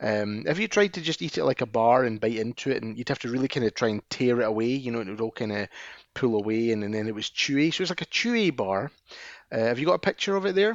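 A man with a Scottish accent at a medium pitch, very fast pace and lively intonation. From Scotland. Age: 40s. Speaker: podcast co-host. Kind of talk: casual chat.

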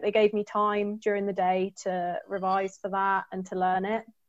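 A woman speaks at a moderate pace. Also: hardly any pauses. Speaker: tech graduate trainee. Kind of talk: webinar panel talk.

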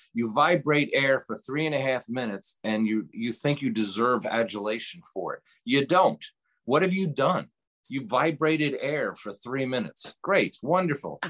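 A man with an American accent speaks in a normal speaking voice, fairly high for a man, with lively intonation at a moderate pace. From New York, Hudson Valley. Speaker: radio show host and musician. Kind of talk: interview. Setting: remote from home cabin.

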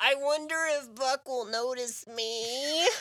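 This is a put-on character voice. It is pitched high. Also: fairly slow pace. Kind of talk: parody of romance novel.

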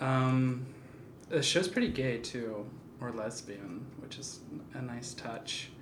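Soft-spoken and very slow, the speech is broken by long, frequent pauses. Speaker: photographer. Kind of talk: casual chat.

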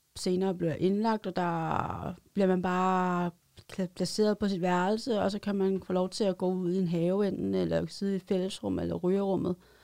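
A woman's dark, mellow tone stays monotone, with flat intonation throughout. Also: medium pitch for a woman, moderate pace. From Denmark, Roskilde. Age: 30s. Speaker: street newspaper vendor, former psychiatric patient. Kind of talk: studio interview, personal testimony. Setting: studio.

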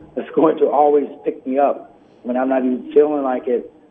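Background noise is noticeable as a man speaks in an American accent at a moderate pace. His fairly high voice keeps a fairly even intonation. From US Midwest, Peoria, Illinois. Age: 50s. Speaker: author and performer. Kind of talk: interview. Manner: halting, many fillers.

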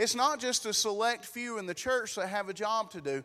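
A man speaks in a raised, projected voice with a high pitch and a bright, sharp tone. The recording is very clean, with a silent background. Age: 30s. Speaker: pastor. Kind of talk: sermon. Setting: church. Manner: loud.

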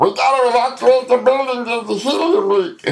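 A man speaks in a squeaky, put-on character voice pitched extremely high. His pace is fairly quick.

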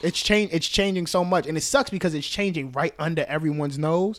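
The recording is very clean, with a silent background. A man speaks fairly quickly at a fairly high pitch, with ordinary pitch variation. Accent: New York. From New York, the Bronx. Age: 20s. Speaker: event directory founder. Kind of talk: casual chat.

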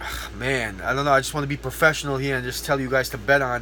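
With an American accent, a man talks at a very fast pace against noticeable background noise. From outside the US. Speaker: podcast host and MMA fighter. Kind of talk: casual solo podcast monologue. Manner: animated.

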